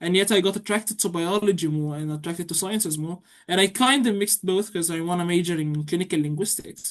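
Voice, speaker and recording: In an Arabic accent, a woman talks at a very fast pace with hardly any pauses and a fairly low pitch, against a quiet background. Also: ordinary pitch variation. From Egypt. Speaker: university student. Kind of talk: interview.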